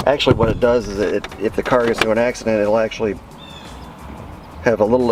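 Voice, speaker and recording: The speech moves at a fairly quick pace with ordinary pitch variation, over noticeable background noise. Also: man. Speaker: DIY car repair youtuber. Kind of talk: tutorial. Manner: fast; casual, with many fillers.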